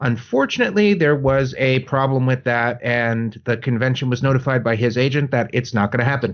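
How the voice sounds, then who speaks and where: A man with a plain, everyday voice talks at a fairly quick pace and medium pitch. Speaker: podcast host. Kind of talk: casual chat. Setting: video call.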